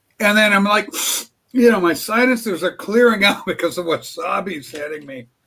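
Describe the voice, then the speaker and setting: A man speaks in a raised, projected voice at a high pitch and moderate pace. His tone is bright and sharp, with ordinary pitch variation. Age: 60s. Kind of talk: casual chat.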